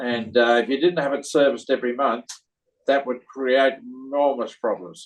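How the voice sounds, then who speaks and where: A man talks at a moderate pace and medium pitch, keeping his intonation fairly even. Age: 80s+. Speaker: cinema owner, award recipient. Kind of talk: interview. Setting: video call. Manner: halting, many fillers.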